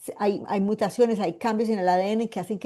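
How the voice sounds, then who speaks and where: A woman's medium-pitched voice with a dark, mellow tone and fairly even intonation against a quiet background. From Colombia, Medellín. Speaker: medical geneticist, cancer survivor. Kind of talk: online lecture. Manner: hesitant, many fillers.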